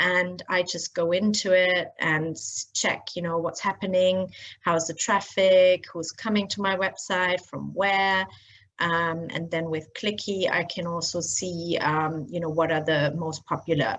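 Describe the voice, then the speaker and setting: In a German accent, this woman speaks with a fairly low pitch. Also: fairly even intonation, fairly slow pace. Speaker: blogger and SEO trainer. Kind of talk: screen-share tutorial. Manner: casual, many filler words.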